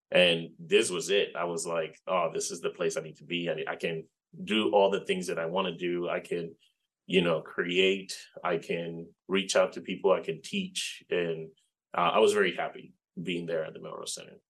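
A man with a Spanish accent at a moderate pace, with big swings in loudness. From Puerto Rico. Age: 40s. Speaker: game developer and library digital media instructor. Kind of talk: interview.

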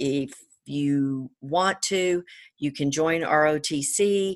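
A woman with an American accent speaks in a very deep, low pitch. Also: quiet background. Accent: Georgia accent, comes and goes. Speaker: attorney, service academy graduate. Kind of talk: interview.

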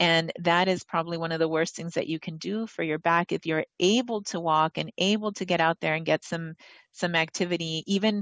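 In an unremarkable speaking voice, a woman with an American accent talks at a fairly quick pace and a fairly low pitch. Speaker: doctor. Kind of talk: casual chat. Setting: video call.

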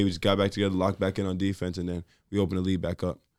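Someone with a New York accent speaks at a very fast pace. The recording is very clean, with a silent background. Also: man. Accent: New York City. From New York City (Brooklyn), Jamaican family. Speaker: college basketball player. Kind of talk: casual interview.

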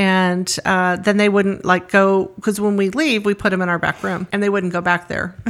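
Speaking at a moderate pace with hardly any pauses, a woman with an American accent and medium pitch keeps a fairly even intonation. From US West, San Fernando Valley, Los Angeles. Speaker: estate sale business co-owner. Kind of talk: casual interview. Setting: studio.

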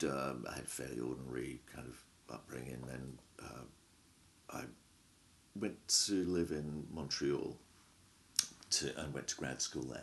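With vocal fry and a very deep, low pitch, a man speaks at a fairly slow pace, using ordinary pitch variation and long, frequent pauses. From England. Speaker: professor. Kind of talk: academic interview.

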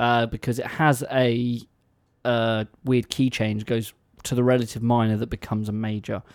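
A man with an English accent speaks at medium pitch and a moderate pace. The recording is very clean, with a silent background. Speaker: radio co-host. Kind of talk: casual chat. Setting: radio studio. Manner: playful, rambling.

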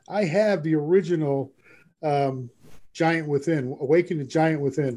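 A man with an American accent, fairly high-pitched, an ordinary speaking voice. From New York (Brooklyn, Long Island). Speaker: real estate broker and coach. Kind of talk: interview.

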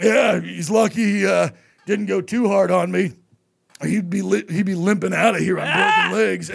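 Shouting in a raspy, put-on character voice, a man speaks at a high pitch and a moderate pace. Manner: boastful, bluffing.

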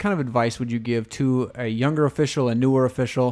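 On a very clean recording with a silent background, a man with a plain, everyday voice speaks at a moderate pace in a medium pitch. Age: 30s. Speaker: podcast host, basketball referee. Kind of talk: interview.

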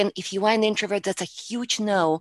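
A woman with a Russian accent, recorded with a dry, close sound and no echo. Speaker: public speaking coach. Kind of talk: interview.

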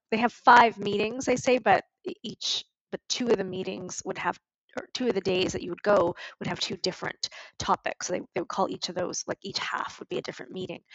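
At a moderate pace, a woman with a Canadian accent speaks in a plain, everyday voice, medium in pitch with fairly even intonation. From Montreal, Canada. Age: 40s. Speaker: business coach and horse ranch owner. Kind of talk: interview.

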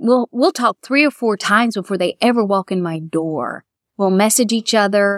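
On a very clean recording with a silent background and a dry, close sound with no echo, a woman with an American accent talks at a moderate pace in an animated tone with lively intonation. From Florida. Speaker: wedding dress designer. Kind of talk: interview. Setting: bridal boutique.

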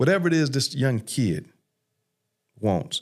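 With an American accent, a man has an unremarkable speaking voice and lively intonation. He talks at a fairly slow pace on a very clean recording with a silent background. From South Los Angeles. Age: 50s. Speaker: criminal justice reform advocate, former prisoner. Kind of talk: testimony.

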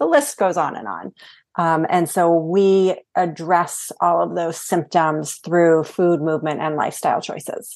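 A woman with an American accent and an ordinary speaking voice, fairly low in pitch, fairly slow and fairly even in intonation, over a quiet background. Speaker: hormone coach. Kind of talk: interview.

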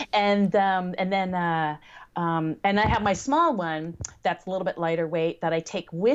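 Here a woman with a fairly low pitch talks at a moderate pace in a normal speaking voice. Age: 50s. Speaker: blind blogger and podcaster. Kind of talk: interview.

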